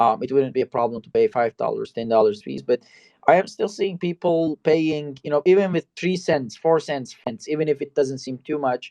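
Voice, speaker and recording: Dry and close with no echo, a man's fairly high-pitched voice has a dark, mellow tone, lively intonation, a moderate pace and big swings in loudness. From Turkey. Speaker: talk show host. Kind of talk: live interview chat. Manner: halting, many fillers.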